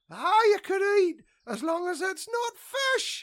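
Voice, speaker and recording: A put-on character voice, squeaky and extremely high-pitched, at a fairly slow pace. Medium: audio drama.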